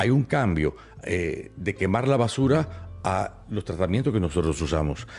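Speaking at a fairly slow pace, a man uses lively intonation with vocal fry. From Cuba. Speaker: podcaster and stage performer. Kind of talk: casual chat. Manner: animated.

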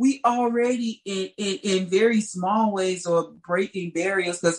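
With an American accent, the voice is somewhat breathy, moves at a fairly slow pace, and shows ordinary pitch variation. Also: woman. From St. Louis, Missouri, US Midwest. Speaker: singer and artist.

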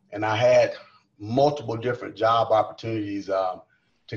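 Somewhat breathy, a man with a Southern US accent speaks in a medium pitch with ordinary pitch variation. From South Carolina. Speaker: college coach. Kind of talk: casual chat. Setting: video call.

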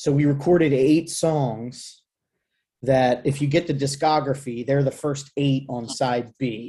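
Over a quiet background, a man with a fairly high pitch speaks in a dark, mellow, somewhat breathy tone and with fairly even intonation. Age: 40s. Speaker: hardcore band singer. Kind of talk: casual chat.

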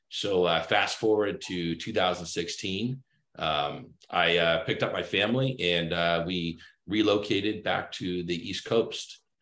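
The speaker has an American accent and talks at a very slow pace with ordinary pitch variation. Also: man, very deep, low pitch for a man. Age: 30s. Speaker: cybersecurity consultant. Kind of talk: casual interview chat.

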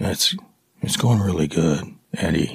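A man puts on a character voice. His pitch sits very deep and low. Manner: low energy, flat.

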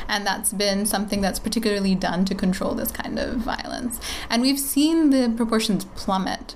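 At a moderate pace, a woman speaks in a fairly high voice with ordinary pitch variation. The recording has audible room echo and noticeable background noise. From Bangladesh. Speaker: public health NGO worker. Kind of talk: interview conversation.

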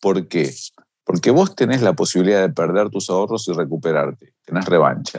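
A man speaks with an Argentine accent. His pace is moderate. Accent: Argentine Spanish (Rioplatense). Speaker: financial markets expert. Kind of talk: interview.

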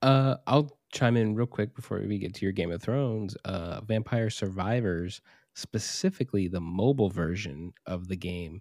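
Recorded dry and close with no echo against a very clean, silent background, a man with an American accent speaks in a plain, everyday voice at a moderate pace, with a fairly low pitch and ordinary pitch variation. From Arizona. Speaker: podcast co-host. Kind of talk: casual chat.

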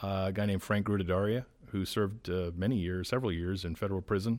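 A man with an American accent speaks at a very deep, low pitch in a monotone, flat intonation. The recording is very clean with a silent background. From Rhode Island, US. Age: 40s. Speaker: political operative, former state party chairman. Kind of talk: interview. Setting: studio in public library.

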